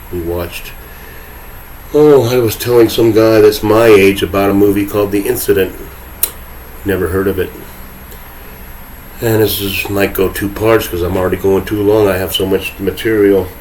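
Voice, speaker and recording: A man speaks at a moderate pace and a fairly low pitch, with fairly even intonation. Long, frequent pauses break up his talk over noticeable background noise. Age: 60s. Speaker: podcast host. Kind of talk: solo monologue rant. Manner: sarcastic, rambling conversational.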